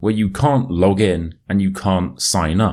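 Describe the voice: A man with a British accent speaks at a low pitch, his tone slightly mellow. The recording is very clean, with a silent background. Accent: British, modern RP.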